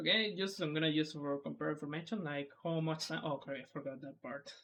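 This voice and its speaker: A fairly quick pace in a Spanish accent. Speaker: speedrunner. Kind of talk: tutorial. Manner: halting.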